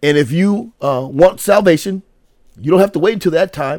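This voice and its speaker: With an American accent, a man speaks at a moderate pace using lively intonation. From United States. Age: 60s. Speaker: pastor. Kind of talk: sermon. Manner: halting.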